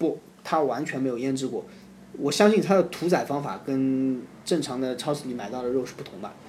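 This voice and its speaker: In a room with audible echo, a man talks at a fairly quick pace and medium pitch. His pitch variation is ordinary, while his loudness swings widely. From Zhoushan, Zhejiang, China. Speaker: former overseas student. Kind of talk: casual chat.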